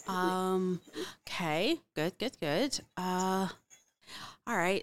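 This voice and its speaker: A woman talks at a very slow pace. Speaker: podcast host. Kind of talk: casual interview chat. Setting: video call.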